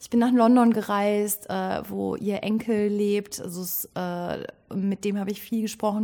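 This woman talks at a fairly slow pace and a medium pitch, her intonation monotone and flat. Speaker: actress and theatre director. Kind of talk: casual interview. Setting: rehearsal stage.

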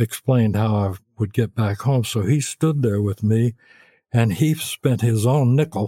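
A man with a Memphis accent speaks at a fairly slow pace in a somewhat breathy voice. His intonation is fairly even, with a dry, close sound with no echo. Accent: Southern US (Memphis). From US South, Memphis. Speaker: songwriter and record producer. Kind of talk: interview.

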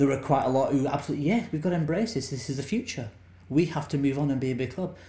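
Very fast delivery with ordinary pitch variation, a somewhat breathy, dark, mellow tone, and audible room echo. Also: man, fairly high pitch for a man. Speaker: documentary director. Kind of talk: interview about his film.

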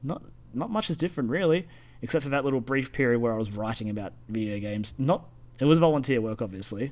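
A medium-pitched man at a very fast pace with lively intonation. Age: 20s. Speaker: gaming podcast co-host. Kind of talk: casual chat.

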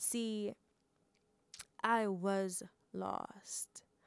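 The woman's medium-pitched voice comes through dry and close with no echo, on a very clean recording over a silent background. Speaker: podcast host and poet. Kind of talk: poem performed, rhythmic spoken word with rhyme, heartfelt testimony of faith. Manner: earnest, emotive, rhythmic, pausing between rhymed lines; warm and chatty when talking to listeners.

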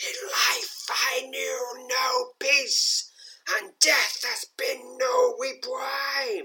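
In a put-on character voice, someone shouts at a very slow pace in a high pitch, with a hissing quality. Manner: hissing warning.

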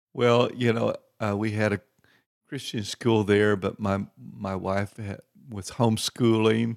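The speaker talks fairly slowly in a Texan accent, with monotone, flat intonation. The recording is very clean with a silent background and a dry, close sound with no echo. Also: man, fairly low pitch for a man. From Texas. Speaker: itinerant minister. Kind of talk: interview testimony.

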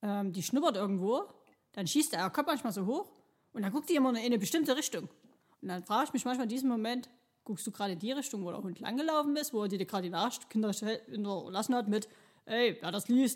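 Despite long, frequent pauses, a woman with a fairly high pitch speaks at a very fast pace with lively intonation. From Chemnitz, Saxony, Germany. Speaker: podcast co-host. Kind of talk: casual chat. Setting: recording studio.

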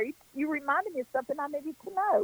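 A high-pitched woman speaks with an American accent, the sound dry and close with no echo. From western North Carolina. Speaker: psychic. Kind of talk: radio interview. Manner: warm, folksy, self-deprecating.

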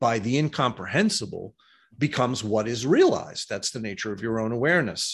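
A somewhat breathy man with an American accent, medium in pitch, fairly quick and lively in intonation, over a quiet background. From US, New York City. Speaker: esoteric author and diagram artist. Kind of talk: interview.

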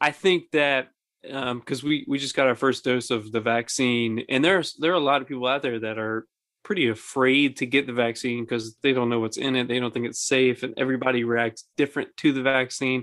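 Talking at a fairly quick pace, a man uses a normal speaking voice at medium pitch with fairly even intonation. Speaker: podcast host. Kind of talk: casual chat, joking banter.

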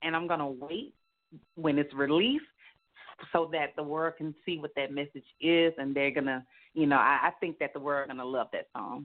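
Moderate pace from a woman

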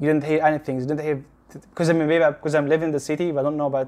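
This man speaks with an Arabic accent at a fairly high pitch. His intonation stays monotone and flat. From Gaza, Palestine. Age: young. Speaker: visual effects technical director. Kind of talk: casual interview. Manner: halting, many repetitions and false starts.

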